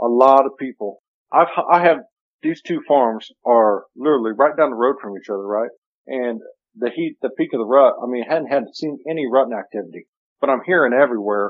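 A man with an American accent, an ordinary speaking voice, medium pitch, fairly quick pace and big swings in loudness. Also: ordinary pitch variation. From US Midwest (Missouri). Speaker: hunting video show host. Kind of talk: casual chat. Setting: phone call.

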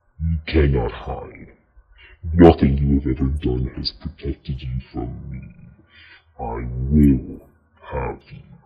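Using a put-on character voice, a man speaks at a very deep, low pitch and fairly slow pace in a menacing tone, with long, frequent pauses.

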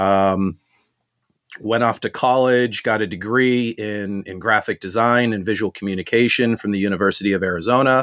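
Here a man speaks in an ordinary speaking voice, fairly low in pitch, at a moderate pace with fairly even intonation. The recording is dry and close, with no echo. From Southern California (born in South Africa, moved 1980). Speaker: marketing and branding entrepreneur. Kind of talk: interview.

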